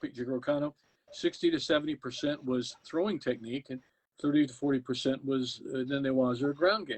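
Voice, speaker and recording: Fairly high-pitched, a man speaks in a plain, everyday voice with an American accent. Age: 60s. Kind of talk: interview. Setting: live video stream.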